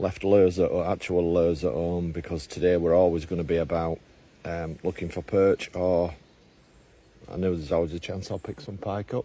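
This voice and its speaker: A man's very deep, low voice, dark and mellow in tone, at a moderate pace with fairly even intonation. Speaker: angler vlogger. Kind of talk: casual outdoor vlog commentary. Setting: outdoors on a lake bank. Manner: hesitant with fillers.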